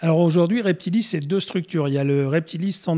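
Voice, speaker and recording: A man talks at a fairly quick pace in a dark, mellow tone. His pitch variation is ordinary. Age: 50s. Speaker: reptile breeder and business founder. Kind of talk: interview. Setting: studio.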